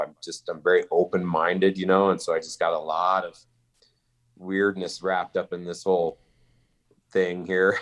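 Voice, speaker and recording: Man speaking at a moderate pace with fairly even intonation. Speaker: archery event organizer and business owner. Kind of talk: podcast interview. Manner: loud.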